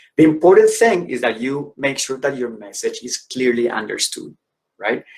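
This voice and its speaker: A man with a Spanish accent speaks at a moderate pace. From Colombia. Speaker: educator and career speaker. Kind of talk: conference presentation. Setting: virtual conference.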